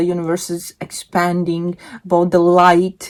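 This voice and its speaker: A very slow pace in a Latvian accent. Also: woman. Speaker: book vlogger. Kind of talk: casual monologue.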